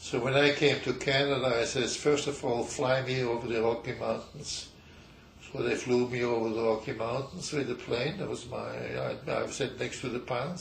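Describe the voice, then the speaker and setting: At a moderate pace and medium pitch, a man speaks with fairly even intonation against noticeable background noise. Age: 90s. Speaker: geologist, emeritus professor. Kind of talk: interview answer.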